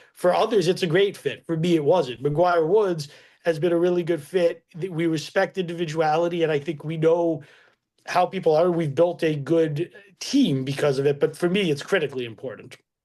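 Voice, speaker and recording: This man speaks loudly at a high pitch. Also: ordinary pitch variation, moderate pace. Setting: webinar with live audience. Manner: halting.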